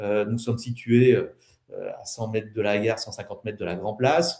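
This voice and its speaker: A man speaks at a medium pitch in a somewhat breathy voice with a dark, mellow tone and ordinary pitch variation. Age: 60s. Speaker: wealth management advisor and property developer. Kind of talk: webinar presentation. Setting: online webinar. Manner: hesitant, many fillers.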